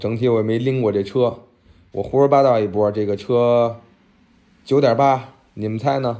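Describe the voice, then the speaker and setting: A dark, mellow tone marks this man's medium-pitched voice. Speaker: bike shop owner and YouTuber. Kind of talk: casual vlog while working. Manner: casual, colloquial, animated.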